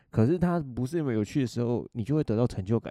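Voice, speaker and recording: Against a quiet background, a man talks at a fairly quick pace. His tone is dark and mellow, with lively intonation. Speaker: podcast host. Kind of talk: casual solo chat. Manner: fast.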